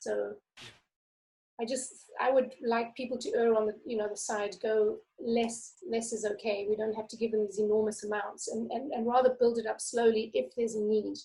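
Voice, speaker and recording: A woman's somewhat breathy voice, fairly high in pitch with a dark, mellow tone, fairly even intonation and a moderate pace. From South Africa. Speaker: memoir author. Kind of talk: reading aloud; casual interview chat. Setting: video call.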